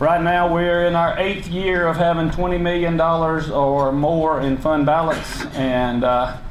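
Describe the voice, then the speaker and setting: Over noticeable background noise and audible room echo, a high-pitched man with a Southern US accent speaks at a fairly slow pace with very even loudness. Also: fairly even intonation, hardly any pauses. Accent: Southern US (Georgia). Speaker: county government leader. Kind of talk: public speech. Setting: luncheon meeting with audience. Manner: unscripted, halting with fillers.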